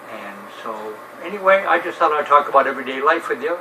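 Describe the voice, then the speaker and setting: Noticeable noise in the background behind speech with an American accent. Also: man. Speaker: retired navy veteran vlogger. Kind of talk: casual monologue.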